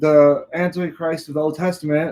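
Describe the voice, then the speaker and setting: Mumbling at a fairly slow pace, a man talks in a high voice. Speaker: bible teacher. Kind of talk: lecture. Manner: halting.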